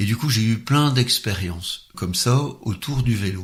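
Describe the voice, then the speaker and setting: The man's voice comes out somewhat breathy. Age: 60s. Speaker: former social worker, cycling enthusiast. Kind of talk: interview.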